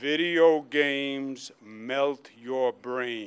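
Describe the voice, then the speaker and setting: In a gruff put-on character voice, a man speaks at a medium pitch. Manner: stern, authoritative.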